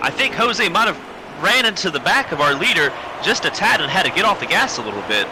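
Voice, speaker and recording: Man with an American accent, high-pitched, very fast and lively in intonation, over noticeable background noise. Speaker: sim racing commentator. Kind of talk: live commentary.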